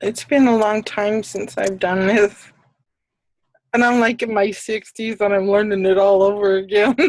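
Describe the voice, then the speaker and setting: The pace is moderate and the intonation fairly even. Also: woman, medium pitch for a woman. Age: 60s. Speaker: student. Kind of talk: live online tutoring session. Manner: halting.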